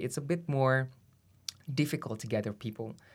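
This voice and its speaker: Speech in an Indonesian accent comes at a fairly quick pace with ordinary pitch variation. The recording is very clean, with a silent background. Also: man. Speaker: human rights lawyer. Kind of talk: interview. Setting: studio.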